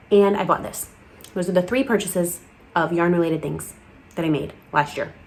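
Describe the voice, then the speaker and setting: A woman's fairly low, animated voice at a fairly quick clip, broken by long, frequent pauses, over noticeable background noise. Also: ordinary pitch variation. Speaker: crochet podcast host. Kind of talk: casual chat.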